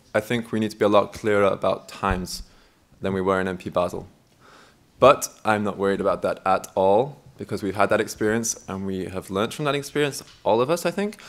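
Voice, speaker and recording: Talking at a fairly quick pace, a man with a fairly low pitch shows ordinary pitch variation. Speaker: candidate for meeting chair at a student network assembly. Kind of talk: election Q&A at a meeting. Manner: loud.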